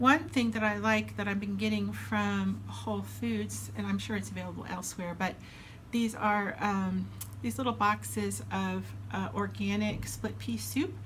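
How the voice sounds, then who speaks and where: Amid audible room echo, a woman with a very deep, low pitch talks at a fairly slow pace in monotone, flat intonation. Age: 60s. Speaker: weight loss surgery vlogger. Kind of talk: casual vlog update. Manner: casual, with frequent fillers.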